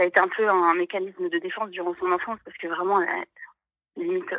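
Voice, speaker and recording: A woman talks at a very fast pace. Her voice is shaky. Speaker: caller. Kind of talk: personal testimony on live call-in. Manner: halting, many hesitations; trembling voice.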